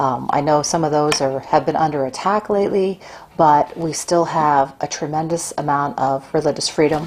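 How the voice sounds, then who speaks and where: A soft-spoken woman with an American accent talks in a very deep, low voice with fairly even intonation over noticeable background noise. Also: moderate pace. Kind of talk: casual talk to camera. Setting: at home. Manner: halting with fillers.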